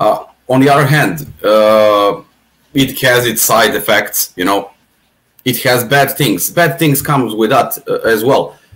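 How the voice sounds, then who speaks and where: A man talks fairly slowly, his medium pitch showing ordinary pitch variation. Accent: Serbian. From Serbia. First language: Serbian. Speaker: atheist podcast guest. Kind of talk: casual chat. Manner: halting, many repetitions.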